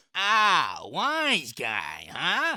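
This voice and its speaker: A put-on character voice, pitched fairly high. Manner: comical.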